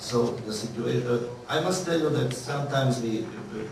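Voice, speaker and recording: A man speaks at a moderate pace with a medium pitch and ordinary pitch variation. Noticeable background noise and audible room echo are present. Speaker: media expert. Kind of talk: conference panel talk. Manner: halting.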